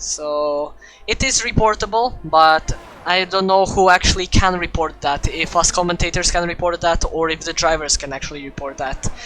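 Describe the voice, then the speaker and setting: A woman with a non-native accent speaks at a fairly low pitch and a moderate pace. Noticeable background noise can be heard. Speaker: sim racing commentator. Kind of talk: live commentary. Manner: halting, many fillers.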